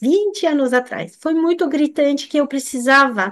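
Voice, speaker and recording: A woman talks at a moderate pace in a French accent. Her high pitch carries lively intonation. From France. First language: French (speaking Portuguese). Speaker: nutritionist. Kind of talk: live stream talk. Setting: live stream. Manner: halting.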